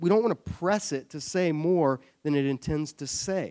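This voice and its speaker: In a dry, close sound with no echo, a man with an American accent and fairly high pitch uses an ordinary speaking voice at a moderate pace. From US South, Savannah, Georgia. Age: 30s. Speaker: church adult education teacher. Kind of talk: Bible study lecture. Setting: church classroom with audience.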